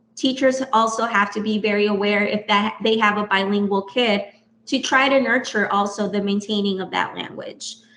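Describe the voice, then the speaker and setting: A woman speaks at a medium pitch and a moderate pace with fairly even intonation. Noticeable background noise is present. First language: Spanish. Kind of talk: podcast interview.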